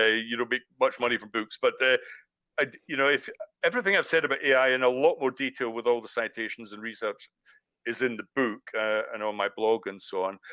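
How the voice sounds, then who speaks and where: A man's very fast, medium-pitched speech in a Scottish accent, bright and sharp in tone, with ordinary pitch variation and a dry, close sound with no echo. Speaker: author and lecturer. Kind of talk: webinar talk.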